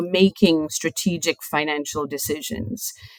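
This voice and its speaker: The voice belongs to a woman. She speaks in a British accent. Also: dry, close sound with no echo. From UK. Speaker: chief financial officer. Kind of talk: podcast interview.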